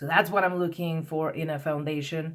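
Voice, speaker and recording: A woman with a non-native accent. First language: not English. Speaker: beauty vlogger. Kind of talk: product review vlog. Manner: rambling, hesitant with many repetitions.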